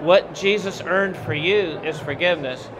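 A man speaks at a moderate pace, with noticeable background noise around him. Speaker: guest. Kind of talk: interview answer, preaching tone. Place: hall. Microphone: handheld.

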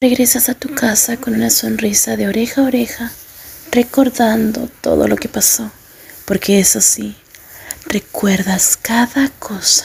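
Amid noticeable background noise, a woman talks in a soothing tone at a fairly slow pace. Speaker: ASMR roleplay fanfic narrator. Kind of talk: bedtime story telling, second-person fanfic roleplay narration. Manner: soft, slow, soothing ASMR whisper-like delivery.

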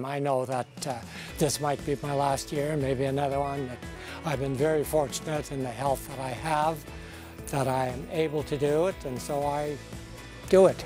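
A man at a moderate pace with fairly even intonation, a dry sound with no echo and clear music in the background. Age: 80s+. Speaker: retired cyclist. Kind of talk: interview answer. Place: garden.

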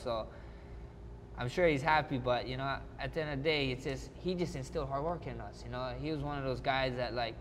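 Light background noise sits under a man speaking at a fairly quick pace. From Hawaii. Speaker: mixed martial arts fighter. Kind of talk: interview answer. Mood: reflective, warm, nostalgic. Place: hall. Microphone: lapel.

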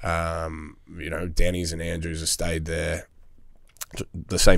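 Very deep and low, a man's voice speaks with an Australian accent at a moderate pace in a monotone, flat intonation. The background is quiet, and the sound is dry with no echo. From Melbourne, Australia. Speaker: hospitality business owner; podcast guest. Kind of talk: casual chat. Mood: relaxed, candid. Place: studio. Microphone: studio mic.

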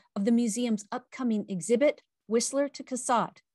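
A woman speaks with ordinary pitch variation in a dry sound with no echo and a quiet background. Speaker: event host. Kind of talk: scripted program introduction. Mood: warm, upbeat. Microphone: webcam.

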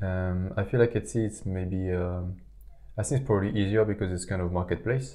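A man mumbles with a very deep, low pitch and a dark, mellow tone. He barely pauses at all. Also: ordinary pitch variation, moderate pace. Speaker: podcast co-host, small online shop owner. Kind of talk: casual chat. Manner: hesitant, many fillers; mumbling.

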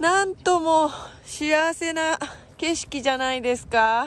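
A woman speaks at a very slow pace with a high pitch and ordinary pitch variation. The sound is dry, with no echo. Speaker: local travel vlogger. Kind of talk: casual talk to camera. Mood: cheerful, admiring. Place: open country. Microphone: phone near.

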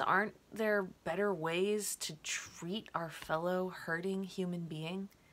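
At a very slow pace, a woman speaks in a gentle tone. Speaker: poet. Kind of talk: poem performed, prose poem read aloud. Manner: reflective, gentle, measured. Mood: reflective, saddened. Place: home room. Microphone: webcam.

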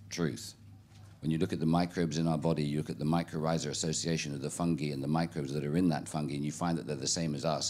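A man speaks at a very fast pace with a British accent. His pitch is very deep and low. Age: 60s. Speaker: keynote speaker. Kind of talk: talk with audience Q&A. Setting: stage with audience. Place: tent. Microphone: handheld.

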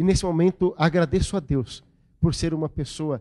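The voice belongs to a man and has a dark, mellow quality. Little can be heard around him. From Brazil, interior of São Paulo state. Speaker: religious lecturer. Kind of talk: lecture. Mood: warm, grateful, smiling. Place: hall. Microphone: handheld.

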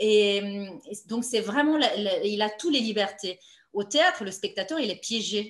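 Against audible room echo, a woman with a Romanian accent speaks at a fairly slow pace, her fairly high pitch carrying lively intonation. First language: Romanian (speaking French). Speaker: playwright and novelist; interviewee. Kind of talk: author interview. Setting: online video meeting. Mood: thoughtful, calm. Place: home room. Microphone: video call.

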